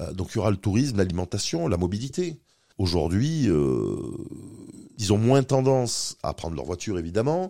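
Over a silent background in a very clean recording, a man with a fairly low pitch and a dark, mellow tone speaks at a moderate pace with very wide pitch swings. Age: 50s. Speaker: company director for aging and accessibility. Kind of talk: interview. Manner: halting.

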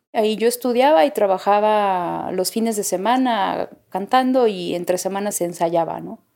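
Speaking with a Mexican accent and hardly any pauses, a woman at medium pitch has a dark, mellow tone on a very clean recording with a silent background. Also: ordinary pitch variation, moderate pace. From Mexico. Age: 30s. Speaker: singer. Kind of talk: interview testimony.

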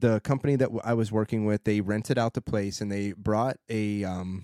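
A man with a fairly low pitch, a moderate pace and a plain, everyday voice. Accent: American. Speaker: podcast host. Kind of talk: casual interview.

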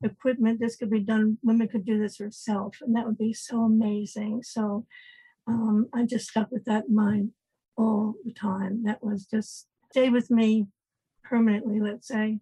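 A woman with a fairly high pitch and a dark, mellow, somewhat breathy tone speaks at a moderate pace in flat, monotone intonation, recorded dry and close with no echo. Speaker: inventor of pregnancy test. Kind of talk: interview. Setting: remote call.

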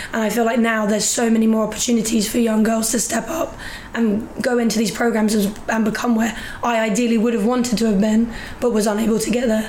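Noticeable background noise sits behind a woman talking at a very fast pace in a fairly high pitch with very even loudness. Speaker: rugby player and personal trainer. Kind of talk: casual chat. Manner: excited, upbeat.

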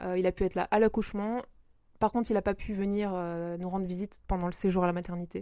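A woman with a medium-pitched voice and a dark, mellow tone speaks very fast in a flat monotone, broken by long, frequent pauses. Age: 30s. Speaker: freelance worker and mother. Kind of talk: interview. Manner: halting.

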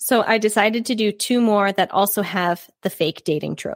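With an ordinary speaking voice, a woman speaks at medium pitch in a very clean recording against a silent background. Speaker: book podcast co-host. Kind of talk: casual chat. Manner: excitable.

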